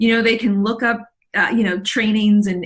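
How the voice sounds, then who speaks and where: A woman speaks in a somewhat breathy voice. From South Texas, Mexican border. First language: Spanish. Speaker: leadership coach. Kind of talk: interview. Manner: halting, many fillers.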